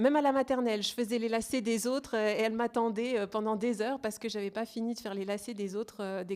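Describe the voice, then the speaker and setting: Talking at a very fast pace with hardly any pauses, a woman uses a fairly high pitch and fairly even intonation. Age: 30s. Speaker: family constellation practitioner. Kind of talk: interview. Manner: hesitant, many fillers.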